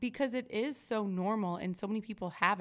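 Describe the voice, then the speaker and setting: This woman speaks at a moderate pace with a West Coast accent. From Oregon. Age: 30s. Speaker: podcast host. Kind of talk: casual interview chat.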